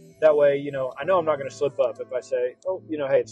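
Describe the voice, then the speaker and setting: The man's voice sounds dry with no echo, with faint music in the background. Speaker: road trip vlogger. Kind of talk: casual vlog chat. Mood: reflective, personal. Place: car. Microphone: lapel.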